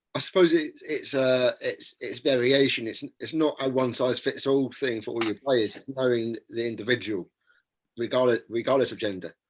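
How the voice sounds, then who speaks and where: A normal speaking voice from a man, medium in pitch, moderate in pace, and showing ordinary pitch variation. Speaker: podcast host. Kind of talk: podcast interviewer questions.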